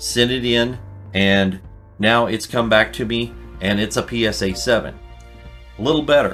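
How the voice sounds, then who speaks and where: Music plays in the background. A man speaks at a medium pitch. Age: 60s. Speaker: card collecting youtuber. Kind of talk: casual tutorial. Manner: conversational with fillers.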